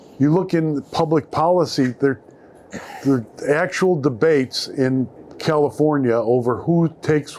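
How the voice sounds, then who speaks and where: A man with a Chicago accent and a fairly high pitch, at a fairly slow pace with ordinary pitch variation. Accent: Chicago American English. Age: 60s. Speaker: newspaper columnist. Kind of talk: live panel talk. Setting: stage with audience.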